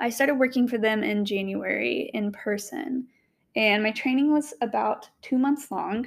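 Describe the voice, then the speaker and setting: A woman with an American accent talks at a moderate pace in a plain, everyday voice. Her pitch is fairly high and varies in an ordinary way. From US South, Knoxville, Tennessee. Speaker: podcast host. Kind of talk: solo monologue, personal story.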